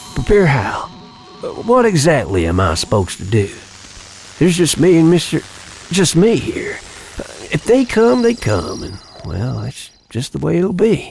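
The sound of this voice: In a put-on character voice with a slightly mellow tone, a slightly husky edge and vocal fry, the speaker swings very widely in pitch at a fairly slow pace, with long, frequent pauses. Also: man, fairly high pitch for a man.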